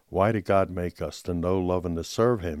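A man with a Philadelphia accent speaks at a moderate pace in a very deep, low pitch and fairly even intonation, his voice dry and close with no echo on a very clean recording with a silent background. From Philadelphia, US Northeast. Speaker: churchgoer sharing faith story. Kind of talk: testimony.

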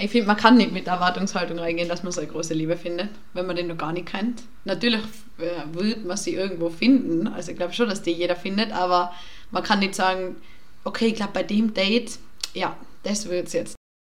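With audible room echo and noticeable background noise, a woman talks at a very fast pace and a medium pitch with ordinary pitch variation. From Tyrol, Austria. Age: 20s. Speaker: university student, podcast guest. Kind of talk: casual chat. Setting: studio.

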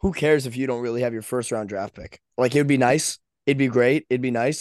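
A man with a plain, everyday voice, medium pitch and fairly even intonation, against a quiet background. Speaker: podcast co-host. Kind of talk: casual sports chat.

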